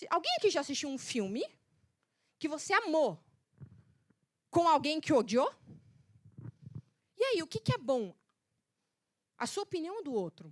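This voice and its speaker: An animated tone carries very wide pitch swings at a moderate pace, broken by long, frequent pauses. The sound is dry and close, with no echo. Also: woman. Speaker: method specialist and speaker. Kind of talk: motivational talk.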